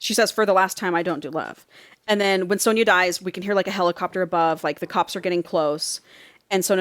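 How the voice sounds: The voice reads in a natural way. Its intonation is mostly level.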